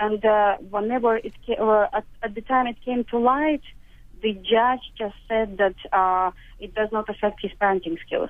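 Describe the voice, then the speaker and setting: A fairly high-pitched woman with a Russian accent. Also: fairly even intonation, moderate pace. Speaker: caller. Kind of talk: phone-in call. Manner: halting, many hesitations.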